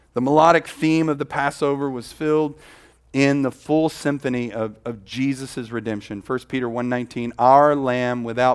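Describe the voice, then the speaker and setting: An ordinary speaking voice, fairly even in intonation and moderate in pace, on a very clean recording with a silent background. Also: man. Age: 50s. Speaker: pastor. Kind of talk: sermon.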